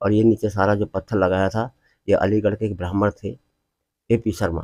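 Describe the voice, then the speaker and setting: Recorded very cleanly against a silent background, a man with a dark, mellow tone and fairly even intonation sounds dry and close, with no echo. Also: fairly low pitch for a man, moderate pace. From western Uttar Pradesh, Bulandshahr area. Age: 80s+. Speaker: temple priest. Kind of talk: interview.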